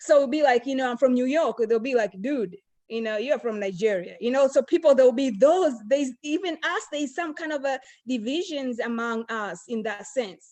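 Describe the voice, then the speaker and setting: At a moderate pace, a woman with an African accent speaks in a high pitch with lively intonation. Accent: African accent, still noticeable. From Tanzania. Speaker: panel guest. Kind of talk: round-table discussion. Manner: hesitant, many fillers.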